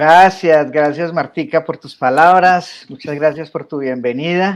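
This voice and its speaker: With a Colombian paisa accent, this voice moves at a fairly slow pace with ordinary pitch variation over a quiet background. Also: man, fairly high pitch for a man. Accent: Colombian coffee region (paisa). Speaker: coach and teacher. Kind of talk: radio interview.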